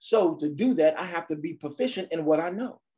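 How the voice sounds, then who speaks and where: A man's animated tone and lively intonation at a moderate pace, over a quiet background. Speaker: motivational speaker. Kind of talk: motivational talk. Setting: video call. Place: home room. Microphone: video call.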